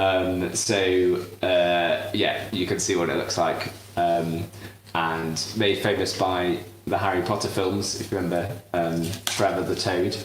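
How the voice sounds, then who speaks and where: In a British accent, a man speaks with a very deep, low pitch and fairly even intonation. There is audible room echo and noticeable background noise. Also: fairly slow pace. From southern England. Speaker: cooking show host. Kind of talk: live cooking demonstration. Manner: halting, many fillers.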